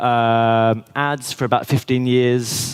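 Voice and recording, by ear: A man speaks at a medium pitch with a clear, smooth tone. His intonation stays fairly even.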